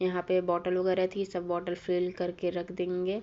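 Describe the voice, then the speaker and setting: This woman's voice sits at a medium pitch. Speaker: vlogger. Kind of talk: vlog voiceover narration. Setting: home. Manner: casual.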